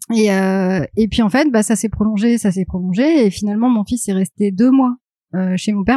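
A woman's voice is somewhat breathy, with a dark, mellow tone and ordinary pitch variation. The sound is dry and close with no echo. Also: quiet background. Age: 30s. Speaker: graphic designer and comic author. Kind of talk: interview.

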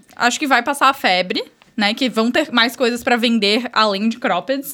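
With lively intonation, a woman speaks in a raised, projected voice. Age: 20s. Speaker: entrepreneur. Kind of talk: casual chat.

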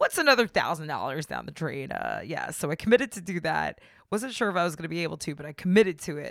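Very fast and animated, the speech has lively intonation, big swings in loudness and vocal fry in a very clean recording with a silent background. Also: woman, fairly low pitch for a woman. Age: 30s. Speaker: podcast host. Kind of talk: casual monologue.

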